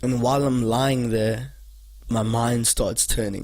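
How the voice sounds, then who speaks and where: Somewhat breathy, a man talks at a very slow pace. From South Africa, Cape Town area. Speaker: podcast host. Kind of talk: casual monologue. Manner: conversational, with fillers.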